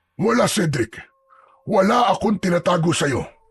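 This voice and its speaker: Putting on a raspy character voice, a man speaks at a high pitch and moderate pace with lively intonation. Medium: read story. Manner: firm, curt.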